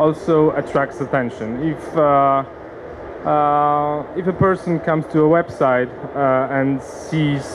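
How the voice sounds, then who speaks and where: A man's fairly high voice at a very slow pace, very even in loudness, with long, frequent pauses, audible room echo and noticeable background noise. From Poland, Warsaw. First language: Polish. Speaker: company CEO, conference speaker. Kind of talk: conference presentation. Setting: conference seminar with audience. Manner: halting, many fillers.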